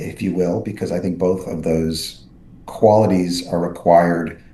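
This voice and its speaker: A man with a very deep, low pitch speaks at a fairly quick pace. Room echo is audible. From New York City. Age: 60s. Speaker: neurosurgeon and author. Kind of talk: podcast interview. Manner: many fillers and restarts.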